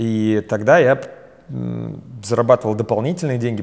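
A man speaks at a medium pitch. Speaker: business trainer and company founder. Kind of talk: interview. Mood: relaxed, smiling. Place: studio. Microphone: lapel.

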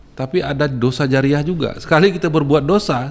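Here a man talks at a very fast pace. His pitch varies in an ordinary way. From Bengkulu, Indonesia; Indonesia. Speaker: journalist association candidate. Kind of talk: podcast interview. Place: studio. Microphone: studio mic.

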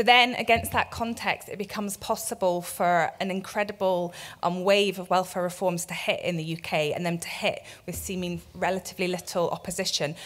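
The pace is neither fast nor slow. This woman keeps her intonation fairly level. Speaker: keynote speaker. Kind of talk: lecture. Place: hall. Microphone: podium.

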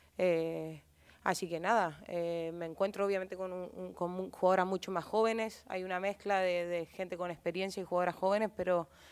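A woman speaks at medium pitch and a moderate pace. Her intonation stays fairly even over a quiet background. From Chile. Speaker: footballer. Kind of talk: press conference. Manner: halting. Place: hall. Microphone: podium.

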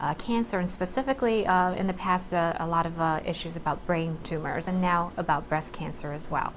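Over light background noise, a woman with a fairly low pitch talks at a fairly quick pace in an unremarkable speaking voice. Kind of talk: interview answer. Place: office.

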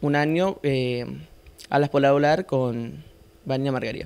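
A man's fairly high-pitched voice at a very slow pace. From Argentina, Santa Fe province (Sunchales); Santa Fe province, Argentina. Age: young. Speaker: amateur painter; guest. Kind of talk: interview. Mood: modest, a bit shy. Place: studio.

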